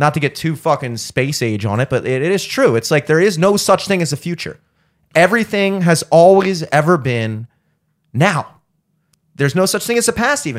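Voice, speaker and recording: On a very clean recording with a silent background, a man with an American accent talks at a moderate pace, his fairly high pitch making very wide swings. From Baltimore, US. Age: 30s. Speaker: podcast host and musician. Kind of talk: casual chat.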